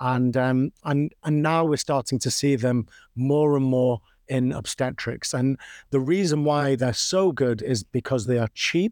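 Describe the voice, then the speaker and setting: Recorded dry and close with no echo against a silent background in a very clean recording, a man with a Manchester accent talks at a fairly slow pace and very even loudness, his medium pitch showing ordinary variation. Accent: Mancunian-tinged British English. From northern England, Manchester. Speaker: obstetric anesthesiology professor. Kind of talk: interview.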